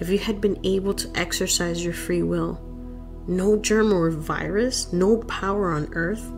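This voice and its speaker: Soft-spoken and fairly low-pitched, a woman talks with fairly even intonation as music plays in the background. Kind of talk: audiobook reading.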